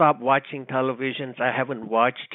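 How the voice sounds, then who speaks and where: This man speaks with a Cambodian accent. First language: Khmer. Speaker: radio co-host, war survivor. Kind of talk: casual chat. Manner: halting.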